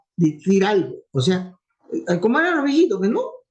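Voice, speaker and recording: A man speaking with music in the background. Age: old. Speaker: university professor. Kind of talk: lecture. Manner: fluent.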